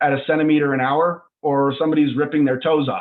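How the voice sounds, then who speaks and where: With an American accent, a man in a plain, everyday voice talks at a fairly quick pace and a fairly high pitch. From US, Northern Colorado. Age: 20s. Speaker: startup CEO. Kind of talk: video call presentation.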